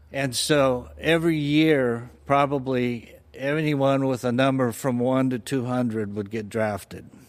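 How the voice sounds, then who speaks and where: With a Californian accent, a man speaks at a fairly slow pace and medium pitch, using ordinary pitch variation. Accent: Californian American English. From Southern California, Fullerton. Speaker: church member sharing faith story. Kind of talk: personal testimony interview. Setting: church studio.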